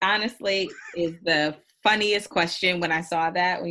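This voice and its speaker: At a fairly slow pace, a woman with an American accent and a plain, everyday voice speaks at a fairly low pitch with ordinary variation against a quiet background. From Indiana. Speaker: spirits trade marketer and podcaster. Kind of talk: casual interview chat.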